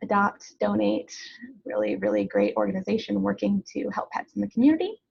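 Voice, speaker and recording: Speaking at a fairly quick pace, a woman is heard in a dry, close sound with no echo. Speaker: dog and cat trainer. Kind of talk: webinar presentation. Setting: live webinar. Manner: fast.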